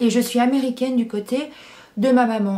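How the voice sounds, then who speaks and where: Her intonation fairly even, a woman speaks at a fairly slow pace. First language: English (speaking French). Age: 20s. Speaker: YouTuber. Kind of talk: Q&A vlog. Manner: hesitant, many fillers.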